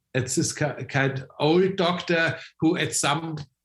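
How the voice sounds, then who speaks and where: A man with a German accent. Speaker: biohacking expert. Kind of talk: interview. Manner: halting, many repeated words and fillers.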